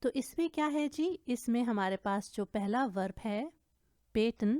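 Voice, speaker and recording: In a German accent, a woman with a dark, mellow tone and lively intonation speaks on a very clean recording with a silent background and a dry, close sound with no echo. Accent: non-native German pronunciation. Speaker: German language teacher. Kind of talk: language lesson tutorial.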